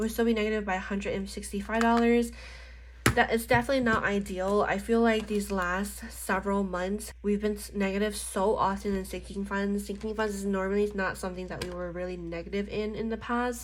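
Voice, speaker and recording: Audible room echo accompanies a voice moving at a fairly quick pace. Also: woman. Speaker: budgeting and planner vlogger. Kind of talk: casual tutorial while crafting. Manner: slurring speech.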